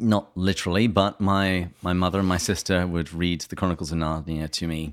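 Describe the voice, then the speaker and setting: A man with a very deep, low voice delivers fairly quick speech with fairly even intonation, recorded very cleanly against a silent background. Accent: English. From England. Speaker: podcast host. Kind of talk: interview.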